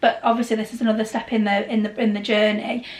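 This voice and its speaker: Amid noticeable background noise, a woman with a British accent talks at a fairly quick pace in a fairly high pitch with fairly even intonation. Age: 30s. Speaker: travel and Disney vlogger. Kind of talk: casual chat. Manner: loud.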